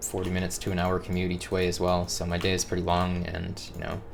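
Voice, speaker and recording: A man speaks at a fairly quick pace in a very deep, low voice. Music plays in the background and the room echo is audible. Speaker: gaming video creator. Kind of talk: casual monologue. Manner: monotone, not excitable; pauses to collect thoughts.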